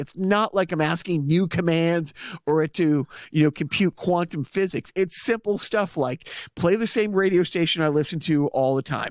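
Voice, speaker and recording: Speaking with a Boston accent at a high pitch and moderate pace, a man is heard in a very clean, dry, close recording with a silent background and no echo. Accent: Boston-area accent, self-described. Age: middle-aged. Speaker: podcast co-host. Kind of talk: casual chat.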